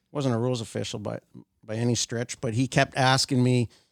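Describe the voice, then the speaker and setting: A man speaks fairly quickly in a Canadian Prairie accent. The sound is dry and close, with no echo. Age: 60s. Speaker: golf rules official. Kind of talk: casual chat.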